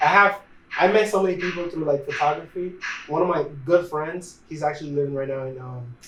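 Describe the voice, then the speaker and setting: With a Spanish accent, a man speaks at a fairly high pitch and a fairly quick pace. There is noticeable background noise. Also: ordinary pitch variation. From Dominican Republic. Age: 20s. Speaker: videographer and photographer. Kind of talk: casual interview.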